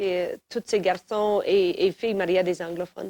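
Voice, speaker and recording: With a western Canadian accent, a woman speaks at a fairly slow pace and medium pitch in a dry, close sound with no echo. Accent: western Canadian French, franglais. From northern Alberta, western Canada. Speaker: singer-songwriter. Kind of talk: interview.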